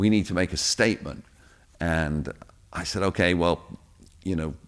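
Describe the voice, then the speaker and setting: A man speaks with a British accent. The recording is very clean, the background silent. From England. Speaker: radio DJ and producer. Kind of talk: interview answer.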